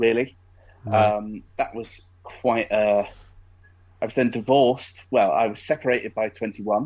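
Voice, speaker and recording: A man with an East Midlands accent, medium pitch, fairly even intonation and a fairly slow pace, against a quiet background. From Derbyshire, England. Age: 20s. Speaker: blind podcast guest. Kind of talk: casual interview chat.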